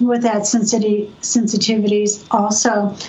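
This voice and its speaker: Against noticeable background noise and audible room echo, a woman with a Californian accent speaks at a moderate pace in a fairly high pitch. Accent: General American, Californian. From US West Coast, San Diego. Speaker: energy medicine practitioner and educator. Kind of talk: storytelling interview.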